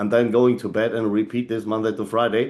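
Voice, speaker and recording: A man with a medium-pitched voice and a dark, mellow tone speaks at a fairly quick pace against a quiet background. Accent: German. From Germany. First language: German. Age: 40s. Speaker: leadership trainer. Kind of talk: motivational talk. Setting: video call. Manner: animated.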